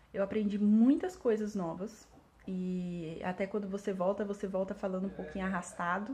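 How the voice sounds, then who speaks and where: Here a woman speaks at a moderate pace. Her medium-pitched voice is somewhat breathy. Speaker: English teacher. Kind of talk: vlog monologue. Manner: hesitant with fillers.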